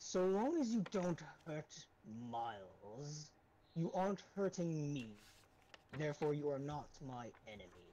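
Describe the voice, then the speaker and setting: Putting on a character voice, a man talks at a fairly slow pace in a fairly high pitch, leaving long, frequent pauses. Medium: actual play. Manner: cold, curt.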